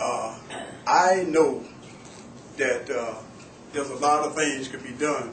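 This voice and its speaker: Speaking fairly slowly, a man with an American accent has a fairly high pitch. Audible room echo and noticeable background noise surround his voice. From Florida. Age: 60s. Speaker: sheriff candidate, retired deputy and army veteran. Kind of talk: campaign speech at public meeting. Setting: library meeting room. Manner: halting, many fillers and repeats.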